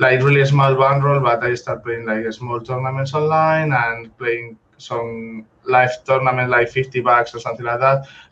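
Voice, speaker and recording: With a Spanish accent, a man speaks at a moderate pace with hardly any pauses, using a medium pitch, monotone, flat intonation and a bright, sharp tone. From Spain. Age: 20s. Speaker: professional poker player. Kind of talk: interview. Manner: halting.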